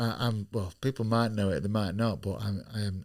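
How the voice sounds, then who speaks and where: Speaking at a fairly low pitch with a Yorkshire accent, a man comes through in a very clean recording with a silent background. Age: 30s. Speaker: professional boxer. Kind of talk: casual chat.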